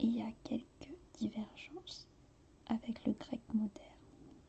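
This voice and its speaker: Someone whispers at a very slow pace. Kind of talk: ASMR tutorial, soft-spoken language lesson. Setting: quiet studio, ASMR recording. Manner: soft-spoken, relaxing.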